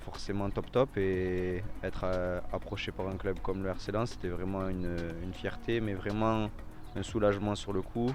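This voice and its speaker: Noticeable background noise behind a man's fairly low-pitched, fairly slow speech. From France, Toulouse area. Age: 20s. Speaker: professional footballer. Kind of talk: interview. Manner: hesitant, many repetitions.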